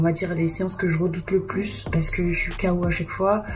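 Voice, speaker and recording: Over music in the background and audible room echo, a woman talks at a moderate pace with a fairly low pitch and monotone, flat intonation. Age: 30s. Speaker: fitness coaching client. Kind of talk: video diary.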